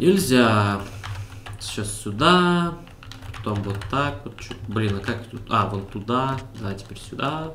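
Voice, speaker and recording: A man of medium pitch speaks at a very slow pace with lively intonation, long, frequent pauses and big swings in loudness. Audible room echo and noticeable background noise fill the recording. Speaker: gaming video creator. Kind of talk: let's play commentary. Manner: animated.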